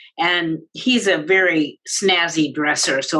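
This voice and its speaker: Bright and sharp in tone, a woman speaks with a fairly low pitch and fairly even intonation. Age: 60s. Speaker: director of a family resource center, parent. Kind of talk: presentation to parents. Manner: hesitant with many ums.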